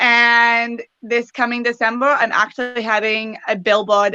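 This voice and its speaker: Speaking at a fairly slow pace, a woman has a bright, sharp tone and fairly even intonation. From western Canada, British Columbia. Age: 20s. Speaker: pageant titleholder and preschool teacher. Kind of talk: interview.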